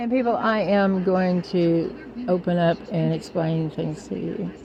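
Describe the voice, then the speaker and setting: Noticeable background noise sits behind a woman's voice. She speaks at a medium pitch and a fairly slow pace. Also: ordinary pitch variation. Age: 60s. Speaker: spiritual vlogger. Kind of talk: spiritual monologue to camera. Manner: rambling, informal with swearing.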